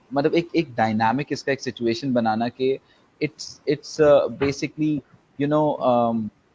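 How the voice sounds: A man's very fast speech with a slightly mellow tone. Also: medium pitch for a man, ordinary pitch variation.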